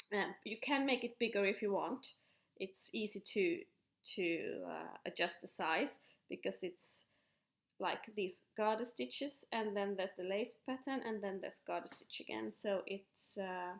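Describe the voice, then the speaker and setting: A woman speaks with a Finland-Swedish accent at a fairly slow pace, her pitch medium with ordinary variation. Vocal fry runs through her voice. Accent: Finnish Swedish-speaking accent in English. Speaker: knitting podcaster. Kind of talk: casual show-and-tell. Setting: at home kitchen table. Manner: halting with fillers.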